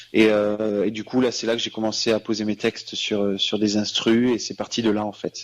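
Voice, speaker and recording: A man speaks at a fairly low pitch and a moderate pace. His delivery is monotone and flat, with hardly any pauses. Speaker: singer. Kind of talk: radio interview. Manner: halting.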